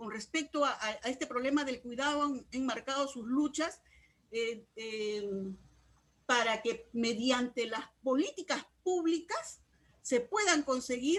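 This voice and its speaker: With a high pitch and lively intonation, a woman speaks. Her pace is very slow. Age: 60s. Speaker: trade unionist and feminist activist. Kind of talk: discussion contribution in online course session. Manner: halting, with many fillers.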